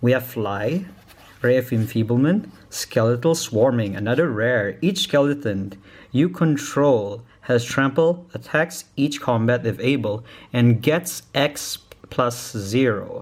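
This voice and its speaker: At a very slow pace, a man with a non-native accent talks at medium pitch. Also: ordinary pitch variation, very even loudness. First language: not English. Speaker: YouTuber opening card packs. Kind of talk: unboxing video. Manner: casual, halting.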